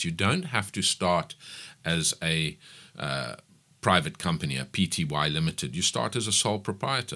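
In a very clean recording with a silent background, a man speaks at a moderate pace with lively intonation, a bright, sharp tone and vocal fry. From South Africa, KwaZulu-Natal (Pietermaritzburg). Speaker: business owner. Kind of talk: radio interview. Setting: radio studio.

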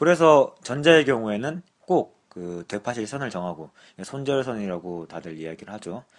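A man talks at a fairly low pitch. His voice makes very wide pitch swings. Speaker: stock podcast co-host. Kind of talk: casual chat.

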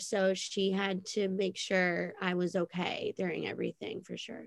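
A woman with an American accent and a plain, everyday voice talks at a moderate pace and medium pitch, recorded with a dry, close sound and no echo. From New Jersey (Monmouth County shore area). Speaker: salon worker. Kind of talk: casual chat. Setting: video call.

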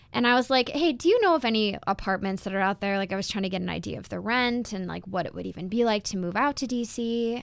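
Fairly quick delivery in an unremarkable speaking voice, pitch varying in an ordinary way, very clean recording against a silent background. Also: woman. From US Midwest (Wisconsin). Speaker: recent college graduate. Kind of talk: casual interview.

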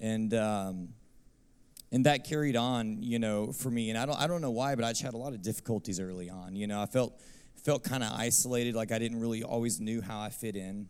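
A man with a Texan accent speaks at a fairly quick pace, his pitch varying in an ordinary way. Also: medium pitch for a man. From Texas, Abilene. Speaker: worship minister. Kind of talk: testimony.

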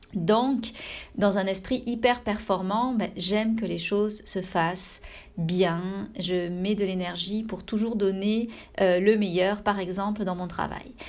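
Her medium-pitched voice carrying audible room echo, a woman speaks at a very slow pace with fairly even intonation. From France. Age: 30s. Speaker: meditation teacher and podcast host. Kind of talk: personal reflection monologue. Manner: intimate, soft-spoken; hesitant, with frequent fillers.

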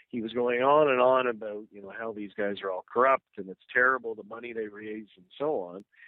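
An unremarkable speaking voice at a fairly quick clip, fairly even in intonation, with hardly any pauses. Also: man, medium pitch for a man. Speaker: political commentator. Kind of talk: radio interview. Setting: phone call.

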